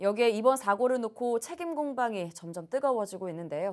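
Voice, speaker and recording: A woman speaks at a moderate pace with a fairly high pitch. Her pitch makes very wide swings. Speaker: news anchor. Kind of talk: TV news studio anchor reading. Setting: studio.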